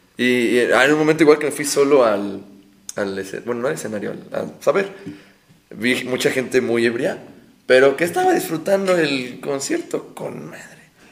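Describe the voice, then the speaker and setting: A man at fairly high pitch with lively intonation and big swings in loudness, at a moderate pace, amid noticeable background noise and audible room echo. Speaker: guest co-host. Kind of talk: casual chat.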